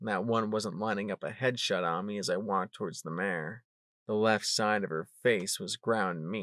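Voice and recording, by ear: Against a quiet background, the speaker is reading aloud in a natural voice with ordinary pitch variation.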